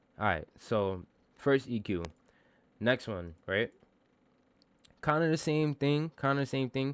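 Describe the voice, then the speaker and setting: A silent background and a very clean recording, with lively intonation. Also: man. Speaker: music producer and rapper teaching vocal mixing. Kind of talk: tutorial. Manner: casual, loose with filler words.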